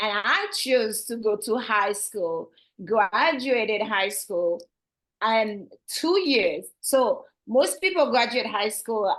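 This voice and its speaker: A woman with a strong Haitian accent speaks very slowly, her fairly high pitch moving with ordinary variation. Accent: heavy Haitian. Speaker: assisted living facility owner. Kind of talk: interview.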